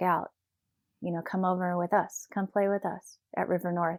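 A woman speaks at a medium pitch and a moderate pace, her tone calm and her intonation monotone and flat. The very clean recording has a silent background and a dry, close sound with no echo. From US South, Tennessee. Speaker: professional dancer. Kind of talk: casual interview. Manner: calm, even-keeled.

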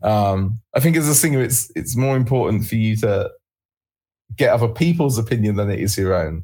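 A man's dark, mellow, somewhat breathy voice at medium pitch, moderate pace and with lively intonation. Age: 30s. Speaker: rock band singer. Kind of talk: casual interview. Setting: online call.

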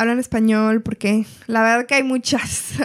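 An ordinary speaking voice proceeds at a moderate pace with fairly even intonation. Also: woman. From Washington State, US (Everett). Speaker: community health coordinator. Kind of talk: casual interview.

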